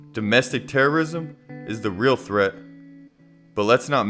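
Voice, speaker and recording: Over music in the background, a man talks with ordinary pitch variation. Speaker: spoken word poet. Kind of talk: spoken word poetry over music. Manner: impassioned, confrontational.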